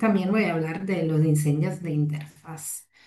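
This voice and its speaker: A woman with an Italian accent at a fairly slow pace, ordinary pitch variation, noticeable background noise behind her. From Italy. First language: Italian (speaking Spanish). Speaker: fire safety researcher and lecturer. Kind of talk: lecture. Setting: video call webinar. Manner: hesitant, many fillers.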